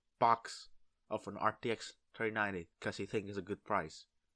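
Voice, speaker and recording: With a Vietnamese accent, the speaker uses monotone, flat intonation and a bright, sharp tone, in a dry, close sound with no echo and a quiet background. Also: man. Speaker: gamer and video maker. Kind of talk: casual commentary. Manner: halting.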